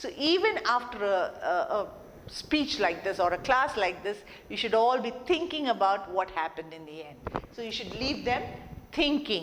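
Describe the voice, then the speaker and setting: A woman's fairly high voice with very wide pitch swings, set against audible room echo and noticeable background noise. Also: moderate pace, big swings in loudness. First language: not English. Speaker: soft skills trainer. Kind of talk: lecture.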